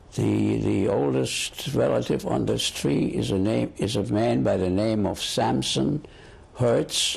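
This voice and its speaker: The voice moves at a very slow pace, swinging very widely in pitch and carrying vocal fry. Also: man. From Germany (Göttingen). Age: 70s. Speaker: Holocaust survivor interviewee. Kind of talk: oral history interview. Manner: halting, with repetitions.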